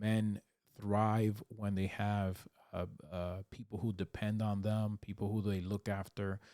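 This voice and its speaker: A man speaks at a fairly slow pace in a fairly low, dark, mellow voice with monotone, flat intonation. The recording is very clean with a silent background and a dry, close sound with no echo. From Dominican Republic. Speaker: YouTuber and relationship coach. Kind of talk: casual vlog talk to camera. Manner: hesitant with many fillers.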